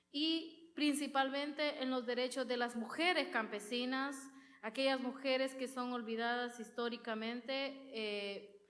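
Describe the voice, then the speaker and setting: Audible room echo surrounds a woman speaking at a fairly slow pace. Her pitch is high, with ordinary pitch variation. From rural Honduras. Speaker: women's rights organizer. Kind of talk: conference talk. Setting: auditorium with audience.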